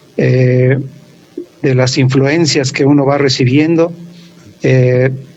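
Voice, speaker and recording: Over noticeable background noise and audible room echo, a man talks very slowly in a fairly high pitch with monotone, flat intonation. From Mexico City (Iztapalapa). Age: 60s. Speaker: university professor and researcher. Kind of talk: podcast interview, life story. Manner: hesitant, many fillers.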